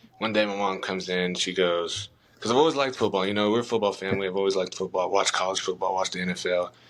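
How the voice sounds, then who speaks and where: Noticeable background noise sits behind a man speaking at a very fast pace. His pitch is very deep and low, and his intonation fairly even. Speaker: college football player. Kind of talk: interview.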